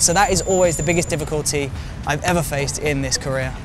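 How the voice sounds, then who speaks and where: Through noticeable background noise and audible room echo, a man speaks at a very fast pace with fairly even intonation. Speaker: filmmaker and YouTuber. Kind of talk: casual Q&A to camera.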